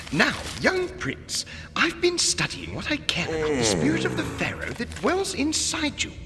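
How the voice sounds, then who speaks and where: A cartoonish character voice goes at a moderate pace over clear music in the background. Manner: formal, dignified.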